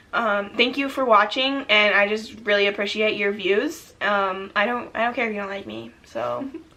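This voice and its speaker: Fairly high-pitched woman's voice at a moderate pace, with ordinary pitch variation and noticeable background noise. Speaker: youtuber. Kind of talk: casual chat.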